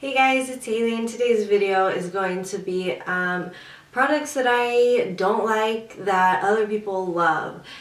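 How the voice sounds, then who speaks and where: A woman's voice with ordinary pitch variation, noticeable background noise and audible room echo. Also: fairly high pitch for a woman. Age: 20s. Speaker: beauty vlogger. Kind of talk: casual chat. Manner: hesitant with many fillers.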